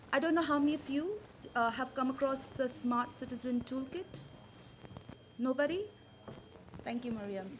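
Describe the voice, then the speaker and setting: In a room with audible echo, a woman with a high pitch speaks with lively intonation and long, frequent pauses. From India. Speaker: social platform founder. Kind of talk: conference talk. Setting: stage with audience. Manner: fast.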